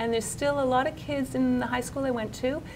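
A woman with a Canadian accent speaks at a fairly quick pace against noticeable background noise. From Canada, Montreal. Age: 50s. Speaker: novelist. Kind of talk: interview. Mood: reflective, warm. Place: office.

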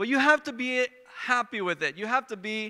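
A man speaks in a raised, projected voice with a bright, sharp tone, ordinary pitch variation and a moderate pace against a quiet background. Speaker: preacher. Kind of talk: sermon. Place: stage. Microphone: handheld.

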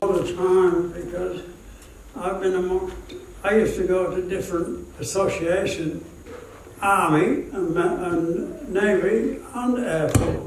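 Speaking at a very slow pace, a man with a high pitch and ordinary pitch variation is heard with audible room echo and light background noise. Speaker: war veteran. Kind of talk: interview answer. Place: hall.

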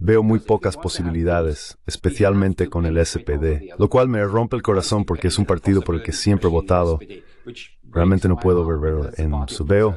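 A man speaks with a very deep, low pitch and a dark, mellow tone. His pace is moderate, with ordinary pitch variation. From East Germany. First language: German (speaking Spanish). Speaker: diplomat and politician. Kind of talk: interview.

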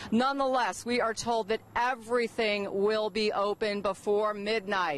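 A woman speaks with ordinary pitch variation. The sound is dry with no echo, over light background noise. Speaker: TV field reporter. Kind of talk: live news report. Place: street. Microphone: handheld.

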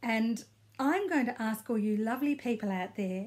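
A woman with an Australian accent speaks at a moderate pace in a fairly high, somewhat breathy voice. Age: 60s. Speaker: knitting vlogger. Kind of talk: casual video blog. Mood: warm, friendly. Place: home room. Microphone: phone near.

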